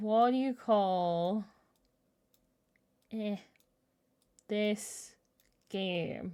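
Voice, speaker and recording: In a very clean recording with a silent background, a speaker with an Irish accent uses ordinary pitch variation. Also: woman. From Ireland. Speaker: video game streamer. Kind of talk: casual live-stream chat.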